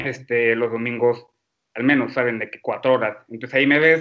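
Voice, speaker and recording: A man's bright, sharp voice at a fairly quick pace, with fairly even intonation. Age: 20s. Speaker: medical student. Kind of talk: casual chat.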